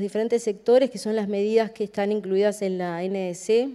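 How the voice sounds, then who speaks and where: A woman with a Uruguayan accent has a fairly high, dark, mellow voice, captured in a very clean recording with a silent background. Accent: Rioplatense Spanish (Uruguayan). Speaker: government climate policy specialist. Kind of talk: conference presentation. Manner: hesitant, many fillers.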